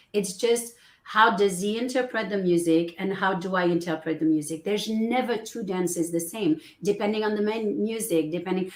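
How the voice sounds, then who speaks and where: At a moderate pace, a woman with a French accent speaks at a medium pitch with ordinary pitch variation. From France. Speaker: business coach. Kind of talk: interview.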